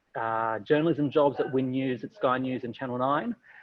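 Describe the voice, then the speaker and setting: In an Australian accent, a man speaks at a moderate pace. His medium pitch shows ordinary variation. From Australia, Wollongong, New South Wales. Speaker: TV news journalist and presenter. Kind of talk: panel discussion. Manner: hesitant, many fillers.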